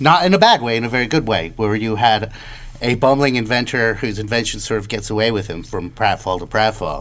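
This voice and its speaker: A man talks fairly quickly while noticeable background noise plays behind him. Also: medium pitch for a man, ordinary pitch variation. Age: 30s. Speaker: podcast co-host. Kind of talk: casual discussion podcast.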